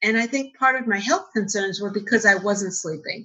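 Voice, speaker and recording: With a New York accent, a woman speaks in a bright, sharp tone with lively intonation. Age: 50s. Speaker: CBD entrepreneur. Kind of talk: interview. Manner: fast.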